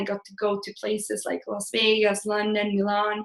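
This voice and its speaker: At a moderate pace, a woman with a Swedish accent speaks in a fairly high voice. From Sweden. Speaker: blogger and career coach. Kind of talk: live webinar presentation. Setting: online webinar. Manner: casual, with filler words.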